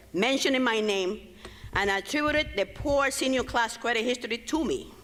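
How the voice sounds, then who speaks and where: A woman with a fairly high pitch speaks at a moderate pace. Her intonation is lively, and there is noticeable background noise. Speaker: former school principal. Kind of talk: public comment at board meeting. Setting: public board meeting in school.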